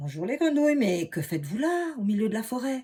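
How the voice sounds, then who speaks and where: Using a put-on character voice, a woman speaks at a fairly high pitch. Her pitch swings very widely, and her pace is fairly quick. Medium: read story. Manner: scoffing.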